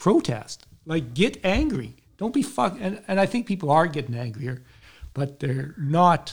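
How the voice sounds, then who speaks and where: A somewhat breathy man with a Canadian accent and fairly high pitch, speaking at a fairly slow pace on a very clean recording with a silent background. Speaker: podcast host, army veteran. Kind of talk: interview.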